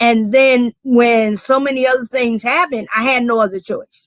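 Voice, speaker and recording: A woman speaks with a South Carolina accent at a high pitch and a moderate pace. Her intonation stays fairly even, and the sound is dry and close with no echo. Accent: Southern US, South Carolina. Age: 60s. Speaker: community organization founder. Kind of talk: panel discussion.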